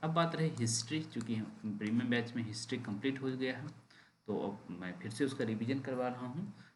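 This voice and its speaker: Room echo is audible as a somewhat breathy man talks with ordinary pitch variation. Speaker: exam coaching teacher. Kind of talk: online class announcement. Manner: deliberately slow.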